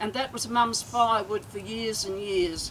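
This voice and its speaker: A woman speaks with an Australian accent at a fairly high pitch. Her pitch variation is ordinary, and there is noticeable background noise. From Australia, north Queensland. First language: Yugoslav (Croatian). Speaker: family elder speaking at a reunion. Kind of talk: reminiscing speech. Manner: halting.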